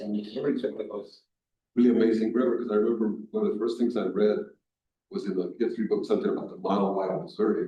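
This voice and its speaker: Audible room echo trails a man who speaks very fast. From Colombia. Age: 60s. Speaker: artist and muralist. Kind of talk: library talk Q&A. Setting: library event with audience.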